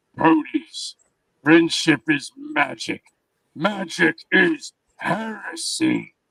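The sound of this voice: A man puts on a character voice that is robotic, raspy and high in pitch. He speaks at a very slow pace.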